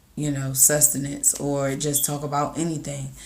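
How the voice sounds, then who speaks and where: Audible room echo surrounds a woman whose voice sits at a very deep, low pitch. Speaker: content creator vlogger. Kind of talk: casual motivational vlog. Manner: casual, halting with fillers.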